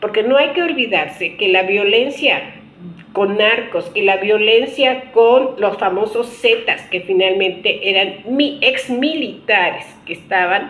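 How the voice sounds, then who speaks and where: A woman's very slow speech with lively intonation, over noticeable background noise. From Mexico. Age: 60s. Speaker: political commentator. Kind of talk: video monologue. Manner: halting, with fillers and restarts.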